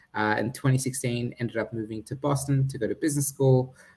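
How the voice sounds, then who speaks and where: Somewhat breathy and medium in pitch, a man with an Australian accent talks at a fairly quick pace with fairly even intonation. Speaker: startup founder and CEO. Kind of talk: startup pitch presentation. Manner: halting, many fillers.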